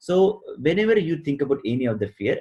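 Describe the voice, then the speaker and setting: A man talks in a somewhat breathy voice with very wide pitch swings. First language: not English; a regional native language. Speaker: success coach. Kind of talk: interview. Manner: hesitant, many fillers.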